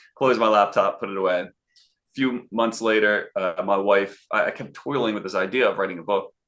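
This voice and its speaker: A man with a Philadelphia accent at a moderate pace. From Philadelphia, US. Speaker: sales and networking consultant. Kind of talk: interview. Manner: animated.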